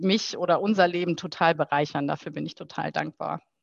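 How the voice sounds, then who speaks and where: A woman at medium pitch uses an ordinary speaking voice with ordinary pitch variation, recorded dry and close with no echo against a quiet background. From Rhineland, Germany (Heinsberg). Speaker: football club marketing manager. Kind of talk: interview, casual chat.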